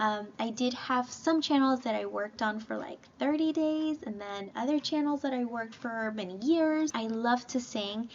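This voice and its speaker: A woman speaks with a non-native accent in a fairly high voice. Her pace is moderate and her pitch variation ordinary. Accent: non-native English, self-described imperfect. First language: not English (bilingual). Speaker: YouTuber. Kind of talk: casual chat.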